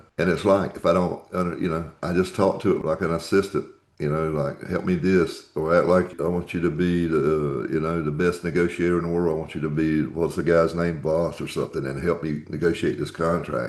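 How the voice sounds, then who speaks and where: Using a very deep, low pitch, a man talks at a fairly quick pace with fairly even intonation. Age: 70s. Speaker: podcast host. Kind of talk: interview conversation.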